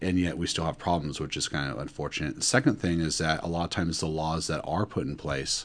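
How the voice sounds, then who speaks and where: A man with a very deep, low pitch and vocal fry, in an American accent, at a fairly quick pace against a quiet background. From Northern California. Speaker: graduate student and Marine Corps veteran. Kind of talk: panel discussion.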